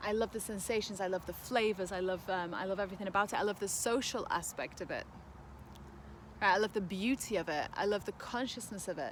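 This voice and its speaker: A woman with a medium pitch speaks at a very fast pace, her intonation fairly even. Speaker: spiritual wellness vlogger. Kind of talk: casual vlog monologue. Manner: loud.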